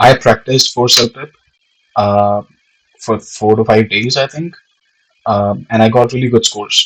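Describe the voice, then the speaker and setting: With a non-native accent, the speaker keeps a fairly even intonation and leaves long, frequent pauses. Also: man, medium pitch for a man, moderate pace. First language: not English. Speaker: aspiring real estate agent, vlogger. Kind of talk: informational vlog. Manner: casual, with many fillers.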